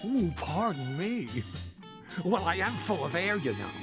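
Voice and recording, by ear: With faint music behind him, a man performs a cartoonish character voice, high for a man and fairly bright in tone, with big pitch swings at a fairly slow pace.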